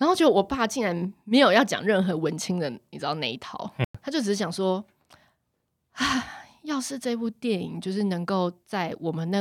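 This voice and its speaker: A normal speaking voice with lively intonation at a moderate pace. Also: woman. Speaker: podcast host; occupational therapist. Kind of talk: casual chat.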